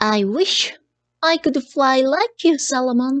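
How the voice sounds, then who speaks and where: Heard in a dry, close sound with no echo, a woman speaks at a very slow pace and a high pitch. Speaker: Japanese English teacher reading aloud. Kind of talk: audiobook-style reading of a children's story. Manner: expressive, lively narration.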